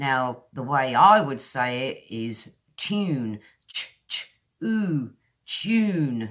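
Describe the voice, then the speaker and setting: Over a quiet background, a woman with a British accent speaks at a very slow pace, leaving long, frequent pauses. Her very deep, low voice moves through very wide pitch swings. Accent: modern British English. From England. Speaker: English pronunciation teacher. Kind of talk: tutorial. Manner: slow, deliberate enunciation. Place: home room. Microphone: webcam.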